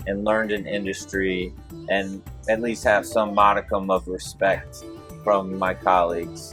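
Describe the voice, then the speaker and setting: Over music in the background, a man with a fairly low pitch and ordinary pitch variation talks at a fairly slow pace. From Mobile, Alabama. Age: 40s. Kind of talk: interview answer. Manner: warm, relaxed, humorous.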